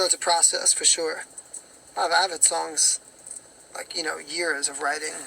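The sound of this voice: A hoarse, raspy man with vocal fry speaks at a moderate pace, his bright, sharp tone held to fairly even intonation.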